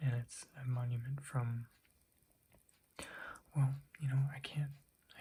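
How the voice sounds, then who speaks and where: Soft-spoken and somewhat breathy, a man talks in a dark, mellow tone at a medium pitch. His intonation stays flat and monotone. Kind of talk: ASMR show and tell.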